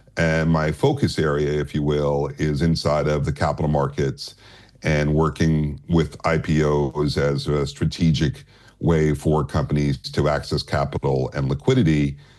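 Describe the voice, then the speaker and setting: At a moderate pace, a man speaks monotone and flat in a very deep, low voice. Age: 60s. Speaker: capital markets advisor. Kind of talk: interview.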